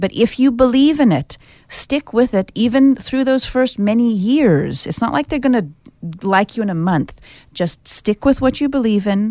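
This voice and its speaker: A woman with an ordinary speaking voice talks at a moderate pace, her fairly high pitch carrying lively intonation. The sound is dry and close, with no echo. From United States. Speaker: pet custody mediator. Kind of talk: radio interview. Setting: studio.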